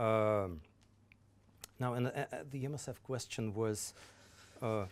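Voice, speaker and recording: Here a man speaks with a Russian accent at a fairly slow pace. His medium pitch shows ordinary variation. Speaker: government official. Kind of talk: lecture Q&A answers. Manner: halting, many repetitions.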